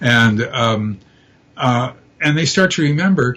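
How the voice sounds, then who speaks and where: A man talks with lively intonation in a somewhat breathy voice. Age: 70s. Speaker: abduction researcher and retired professor. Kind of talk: interview. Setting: live stream talk show. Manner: halting, many fillers and repeats.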